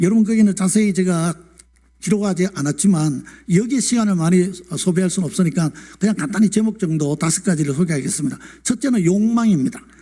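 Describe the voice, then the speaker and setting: At a very fast pace, a man talks with a high pitch, a dark, mellow tone and very even loudness. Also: ordinary pitch variation. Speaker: retired pastor. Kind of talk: sermon. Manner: formal.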